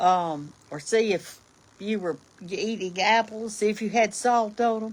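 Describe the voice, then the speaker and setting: A woman's fairly high voice with a Southern US accent. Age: 70s. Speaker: online cooking personality. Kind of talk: casual livestream chat. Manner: folksy, chatty.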